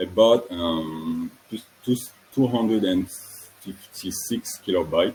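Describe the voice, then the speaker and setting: Speaking with a French accent, a man uses a fairly low pitch and ordinary pitch variation. He goes at a fairly slow pace over noticeable background noise. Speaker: student engineer presenting a project. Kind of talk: technical presentation. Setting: online webinar. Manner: halting, self-correcting.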